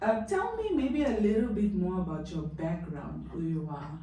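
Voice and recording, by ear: With audible room echo around her, a woman speaks in a fairly low pitch with lively intonation. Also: moderate pace.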